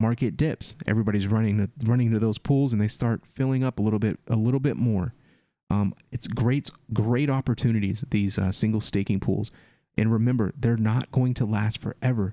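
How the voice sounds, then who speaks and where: A calm man's voice, dark and mellow at a medium pitch, fairly quick, in very even loudness, dry and close with no echo, in a very clean recording with a silent background. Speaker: crypto YouTuber. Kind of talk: casual commentary reading a blog.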